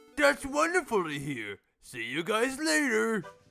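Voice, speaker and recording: Over faint music, a man puts on a character voice with a high pitch. He speaks at a moderate pace, his pitch swinging very widely. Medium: comedy sketch. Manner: grumbling.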